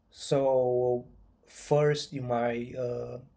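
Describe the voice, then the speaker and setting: A man with a non-native accent speaks at a medium pitch in a dark, mellow tone and a flat monotone, recorded very cleanly against a silent background. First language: not English. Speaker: chronic pain patient and author. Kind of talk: informal video talk to viewers. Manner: halting, many fillers.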